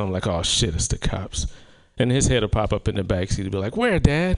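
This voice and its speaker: A man is speaking. He has an American accent. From South Carolina. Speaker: comedian. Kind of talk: stand-up. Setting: stage with audience.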